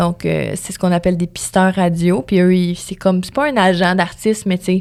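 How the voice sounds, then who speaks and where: A woman talks at a fairly quick pace and a medium pitch. The recording is very clean, with a silent background. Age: 20s. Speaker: radio host and music promoter. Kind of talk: podcast interview.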